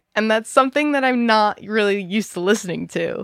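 An enthusiastic woman talks at a fairly quick pace with a fairly high voice and lively intonation. The sound is dry and close, with no echo. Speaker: interviewer. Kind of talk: casual interview chat. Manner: enthusiastic, fan-like.

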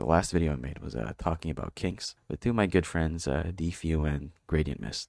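A man with a very deep, low pitch and vocal fry speaks at a fairly quick pace with ordinary pitch variation and hardly any pauses. The recording is very clean with a silent background and a dry, close sound with no echo. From Philippines. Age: 20s. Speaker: podcaster. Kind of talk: casual monologue. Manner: halting.

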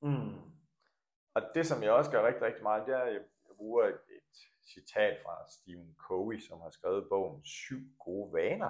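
Loudness swings widely as a man speaks. His pace is fairly slow. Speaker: coach and former badminton coach. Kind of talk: interview.

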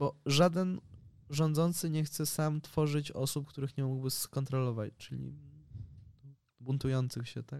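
A man speaks at a fairly slow pace with a fairly high pitch and fairly even intonation, in a normal speaking voice. The recording is very clean, with a silent background. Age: 20s. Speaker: journalist and sociologist. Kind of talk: casual interview.

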